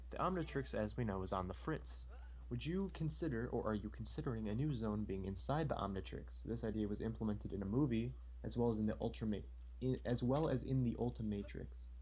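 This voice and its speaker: The speech comes at a very fast pace with audible room echo. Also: man. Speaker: live stream co-host reading viewer questions. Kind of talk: casual live stream chat. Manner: stutter.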